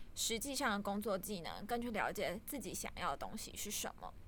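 A plain, everyday voice talks with lively intonation at a moderate speed. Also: woman. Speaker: data analyst at a startup, guest interviewer. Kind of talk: interview.

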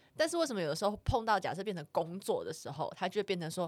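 At a very fast pace, a woman speaks with very wide pitch swings. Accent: Taiwanese. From Taiwan. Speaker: podcast co-host. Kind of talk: casual chat.

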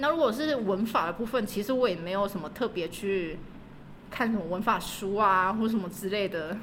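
A woman at medium pitch talks with audible room echo in the recording. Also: ordinary pitch variation, moderate pace. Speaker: language school receptionist and graduate student. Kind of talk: casual interview.

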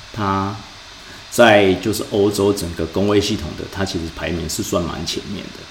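Fairly even intonation from a man with fairly low pitch, with audible room echo and noticeable background noise. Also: moderate pace. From Taiwan. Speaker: podcast host, financial industry analyst. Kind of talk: casual chat. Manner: halting.

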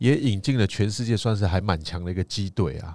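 An ordinary speaking voice from a man, fairly low in pitch at a moderate pace, dry and close with no echo, on a very clean recording with a silent background. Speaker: tour leader and podcast co-host. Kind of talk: casual travel chat.

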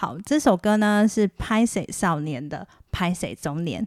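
A woman at a fairly slow pace, with very wide pitch swings, in a very clean, dry, close recording with no echo and a silent background. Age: middle-aged. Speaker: podcast host. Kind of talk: casual monologue. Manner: soft-spoken.

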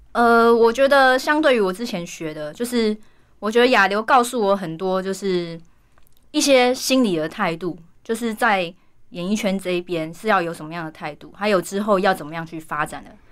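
A woman with an unremarkable speaking voice talks at a medium pitch and moderate pace, with lively intonation. Her loudness swings widely, and the recording is very clean with a silent background. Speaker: singer and actress. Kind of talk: interview.

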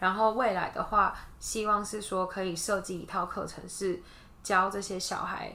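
With a bright, sharp tone and fairly even intonation, a woman speaks in a room with audible echo. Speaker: kindergarten teacher. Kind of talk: casual interview.

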